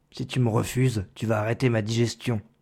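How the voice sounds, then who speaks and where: A man does a raspy put-on character voice at medium pitch. He talks fairly quickly in a flat monotone. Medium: read story. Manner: gloomy, grumbling.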